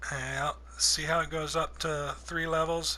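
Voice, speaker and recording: A man speaks at a very slow pace. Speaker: gaming video creator. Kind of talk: tutorial. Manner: casual.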